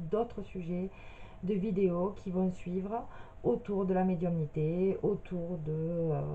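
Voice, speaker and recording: The woman in this clip sounds somewhat breathy. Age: 30s. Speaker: medium. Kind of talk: personal video introduction. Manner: hesitant, many filler sounds.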